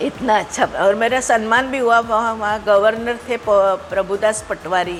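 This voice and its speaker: The speech has fairly even intonation and hardly any pauses. Noticeable background noise runs underneath. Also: woman, fairly high pitch for a woman. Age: 70s. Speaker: retired stage magician. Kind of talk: interview. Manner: halting.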